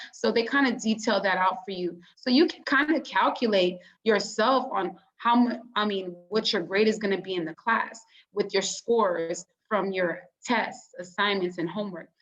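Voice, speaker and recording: A woman talks at a moderate pace with a medium pitch and ordinary pitch variation in a plain, everyday voice. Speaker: peer mentor for college students. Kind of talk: online workshop presentation. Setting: video call.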